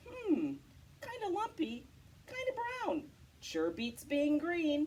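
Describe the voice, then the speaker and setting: A woman's put-on character voice, extremely high-pitched, with very wide pitch swings and a very slow pace. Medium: read story. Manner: energetic, eager.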